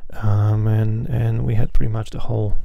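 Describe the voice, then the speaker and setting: A quiet, somewhat breathy man talks in a relaxed tone with ordinary pitch variation, with audible room echo. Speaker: flight sim streamer. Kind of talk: live stream commentary. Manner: quiet, hushed; relaxed, casual.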